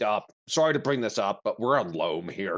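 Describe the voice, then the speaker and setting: A man puts on a raspy character voice at a medium pitch, talking at a moderate pace. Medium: actual play. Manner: blunt.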